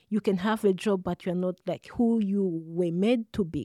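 A woman with a medium-pitched, dark, mellow voice and a cheerful tone speaks at a moderate pace with fairly even intonation, recorded dry and close with no echo, very clean against a silent background. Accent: Rwandan. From Rwanda. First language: Kinyarwanda. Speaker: social work student. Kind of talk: interview. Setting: studio. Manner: cheerful, laughs often.

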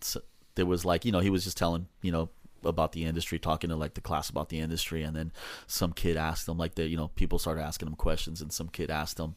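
The speaker has a Southern California accent. The intonation is monotone and flat. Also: man, very clean recording, silent background. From Los Angeles (Echo Park). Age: 40s. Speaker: hot rod shop owner and metal fabricator. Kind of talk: casual chat.

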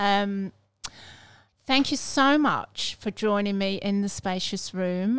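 Very slow speech from a woman with an English accent, at a medium pitch with ordinary pitch variation. The recording is very clean, with a silent background. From England. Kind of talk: casual faith conversation.

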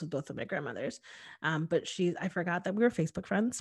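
The speaker has an American accent and talks at a very fast pace. The background is quiet. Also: woman. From Connecticut, New Haven County. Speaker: diversity consultant and public speaker. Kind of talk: casual chat.

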